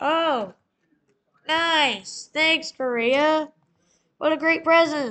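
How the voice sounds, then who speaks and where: A woman's put-on character voice, high-pitched with ordinary pitch variation, very slow and full of long, frequent pauses. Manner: sarcastic.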